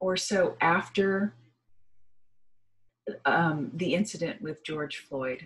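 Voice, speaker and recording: Her voice has a somewhat breathy quality. The woman talks very slowly. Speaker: spiritual energy reader. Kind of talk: casual vlog chat. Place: home room. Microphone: webcam.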